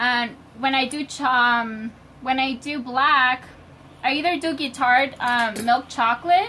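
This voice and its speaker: With a raised, projected voice, a woman speaks at a high pitch in a bright, sharp tone with ordinary pitch variation. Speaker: home baker demonstrating on live video. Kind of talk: live-stream tutorial. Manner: loud, shouting a little.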